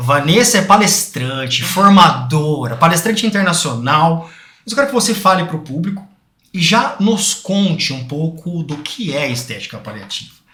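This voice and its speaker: Loudness swings widely and pitch swings very widely, with audible room echo in the space. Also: man, high pitch for a man, moderate pace. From Brazil, interior of São Paulo (Bauru). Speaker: podcast host. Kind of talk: podcast interview.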